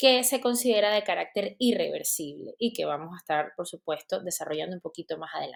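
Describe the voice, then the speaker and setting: A woman with a Venezuelan accent talks at a fairly quick pace with hardly any pauses, in a dry, close sound with no echo. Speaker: dentist and teacher. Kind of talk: lecture; casual chat.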